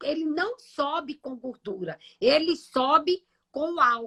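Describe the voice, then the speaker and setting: In a high pitch, a woman uses a raised, projected voice with lively intonation. The sound is dry and close with no echo. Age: 60s. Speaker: nutritionist. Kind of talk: live stream health talk. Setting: live stream.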